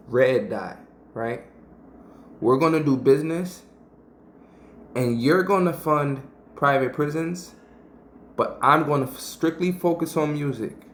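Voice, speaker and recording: An animated, fairly high-pitched male voice at a moderate pace, with ordinary pitch variation and audible room echo. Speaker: YouTube commentator. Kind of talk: commentary breakdown.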